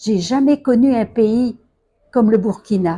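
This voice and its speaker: Over a silent background on a very clean recording, a woman speaks at a very slow pace in a somewhat breathy, dark, mellow tone, her fairly high pitch carried by lively intonation. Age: 80s+. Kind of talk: testimony.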